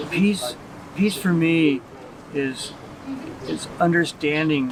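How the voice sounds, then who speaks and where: Noticeable background noise sits under this recording. A man with a fairly high voice and an American accent speaks at a very slow pace. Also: ordinary pitch variation. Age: 70s. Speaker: scholar. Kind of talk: street interview. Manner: halting.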